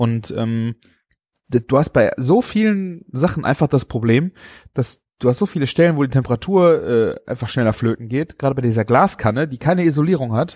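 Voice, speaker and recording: In a dry, close sound with no echo, a man of medium pitch talks at a moderate pace with lively intonation and long, frequent pauses. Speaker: podcast host and food blogger. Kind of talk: casual chat. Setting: video call.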